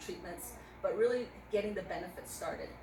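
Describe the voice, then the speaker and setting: A woman speaks amid noticeable background noise, with room echo also audible. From Navajo Nation, US Southwest. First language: Navajo. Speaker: veteran advocate, motorcycle ride volunteer. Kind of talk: casual interview chat. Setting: outdoors at a memorial.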